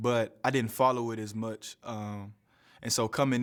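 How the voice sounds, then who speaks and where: This man has an Alabama accent and a medium pitch. His intonation stays monotone and flat on a very clean recording with a silent background. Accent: Southern US (Alabama). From US South, Huntsville, Alabama. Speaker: college basketball player. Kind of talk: press conference interview.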